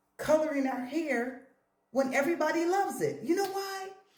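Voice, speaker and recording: Audible room echo carries a woman's animated tone. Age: 50s. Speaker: hair and lifestyle vlogger. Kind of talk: casual vlog talk to camera.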